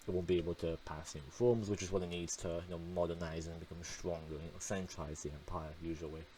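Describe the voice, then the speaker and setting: A man with a very deep, low voice speaks very fast and somewhat breathily, barely pausing, his dark, mellow tone and fairly even intonation carrying audible room echo. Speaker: gaming youtuber. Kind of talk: gameplay voice-over commentary. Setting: recorded voice-over at home. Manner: monotone; hesitant, many fillers.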